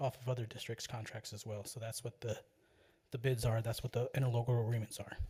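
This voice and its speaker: A man speaks at a very fast pace and medium pitch. His voice is somewhat breathy, and his intonation is monotone and flat. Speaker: school district purchasing official. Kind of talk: board meeting report. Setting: public board meeting. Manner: casual, halting with fillers.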